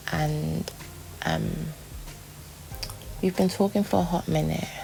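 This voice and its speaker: Soft-spoken, a woman talks at a very slow pace. Noticeable background noise is present. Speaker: vlogger. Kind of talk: personal vlog diary. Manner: soft-spoken, muted; rambling, hesitant with many fillers.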